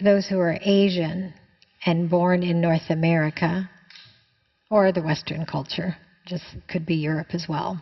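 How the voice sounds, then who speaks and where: The voice is somewhat breathy and monotone, flat in intonation, with a Canadian accent. It moves at a fairly slow pace with long, frequent pauses. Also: woman, fairly low pitch for a woman. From Canada. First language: Chinese. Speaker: spiritual teacher. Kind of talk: answering a viewer question in a spiritual talk.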